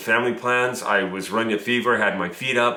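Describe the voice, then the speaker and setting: Noticeable background noise and audible room echo surround this man's voice. He speaks at a medium pitch with monotone, flat intonation. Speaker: business coach. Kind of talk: tutorial. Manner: casual.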